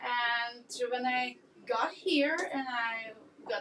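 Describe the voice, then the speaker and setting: A woman with a Ukrainian accent speaks in a high voice with lively intonation over noticeable background noise. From Ukraine. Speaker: art teacher and business owner. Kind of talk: podcast interview.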